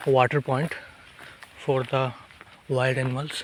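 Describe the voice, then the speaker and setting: Through noticeable background noise, a man speaks with monotone, flat intonation. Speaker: nature vlogger. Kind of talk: walking vlog narration. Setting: outdoors in forest. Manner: quiet, speaking softly.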